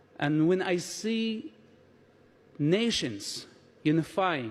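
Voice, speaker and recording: A man with a non-native accent talks in very wide pitch swings. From Palestinian territories. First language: not English. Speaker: conference speaker. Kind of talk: speech.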